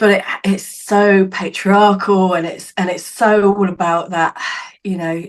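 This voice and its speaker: A woman's medium-pitched voice in a southern English accent, monotone and flat in intonation. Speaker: psychic medium and healer. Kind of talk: podcast interview.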